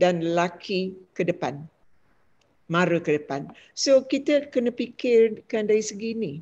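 With a dark, mellow tone, a woman speaks at a fairly slow pace, using very wide pitch swings. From Malaysia, Negeri Sembilan (Linggi); Negeri Sembilan, Malaysia. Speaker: retired lecturer and educator; retired lecturer, educator. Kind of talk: panel discussion. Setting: video call. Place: home room. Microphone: webcam.

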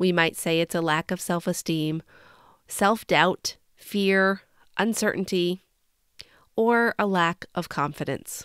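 In a very clean recording with a silent background, a woman with a fairly low pitch and a warm tone speaks at a very slow pace with fairly even intonation and long, frequent pauses. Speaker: podcast host and leadership coach. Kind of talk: solo podcast talk on leadership. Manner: warm, encouraging.

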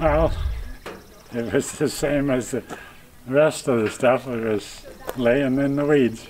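With long, frequent pauses, the speaker goes at a very slow pace and fairly even intonation over light background noise. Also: man. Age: 80s+. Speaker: retired farmer. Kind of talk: interview answer. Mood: cheerful, relaxed. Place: farm.

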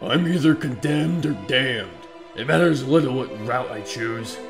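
Clear music plays behind a man speaking. His voice sits at medium pitch and moves at a moderate pace. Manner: stern, commanding.

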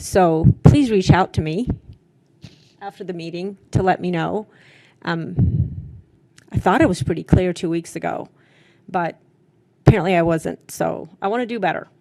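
Her voice is fairly low, dark and mellow, with vocal fry and lively intonation as the woman speaks at a moderate pace. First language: not English. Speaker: school board member. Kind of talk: board meeting comments. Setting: boardroom meeting.

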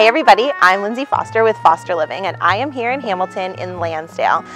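Over faint music in the background, a woman talks at a very fast pace in a dry sound with no echo. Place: street.

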